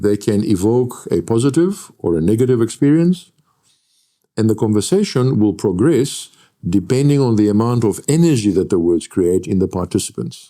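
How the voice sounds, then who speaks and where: A man's dark, mellow voice, fairly low in pitch, moves with lively intonation at a moderate pace and very even loudness. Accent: Greek. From Greece. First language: Greek. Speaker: lecturer and NLP trainer. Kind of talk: interview.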